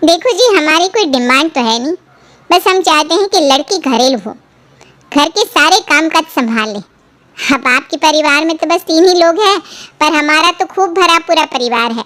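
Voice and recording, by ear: A cartoonish character voice with lively intonation at a moderate pace. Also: woman, extremely high pitch for a woman.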